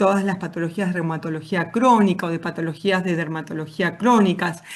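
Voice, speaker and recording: A woman speaks with an Argentine accent. Audible room echo surrounds her voice. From Argentina, Patagonia (Neuquén). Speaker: physician, thermal medicine expert. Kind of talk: conference talk. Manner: hesitant, many fillers.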